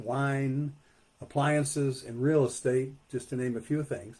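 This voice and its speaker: Fairly high, somewhat breathy speech from a man. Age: 60s. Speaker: poet and author. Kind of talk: author talk. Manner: halting, many fillers.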